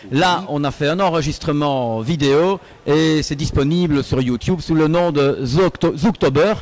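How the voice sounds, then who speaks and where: A man with a slight Belgian accent talks at a fairly slow pace. His pitch is fairly high, with ordinary variation. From Belgium, Liège area. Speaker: singer in a cover band. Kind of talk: interview. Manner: hesitant, many fillers.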